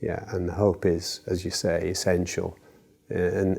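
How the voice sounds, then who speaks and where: A man's very deep, low, somewhat breathy voice with a dark, mellow tone and monotone, flat intonation. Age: 70s. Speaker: cancer patient on a clinical trial. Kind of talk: interview. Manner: halting.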